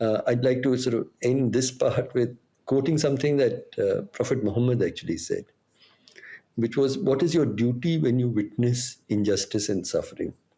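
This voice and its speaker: Dark and mellow in tone and somewhat breathy, the voice keeps a moderate pace, ordinary pitch variation and very even loudness. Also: man, medium pitch for a man. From India. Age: 60s. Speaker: activist. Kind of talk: interview. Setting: podcast recording. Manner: halting, many fillers.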